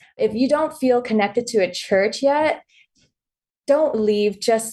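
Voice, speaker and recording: A woman with a West Coast accent speaks at a fairly slow pace with lively intonation and a dark, mellow tone. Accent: general American (West Coast). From born in Vietnam, raised in Los Angeles. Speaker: author and content creator. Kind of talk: casual interview.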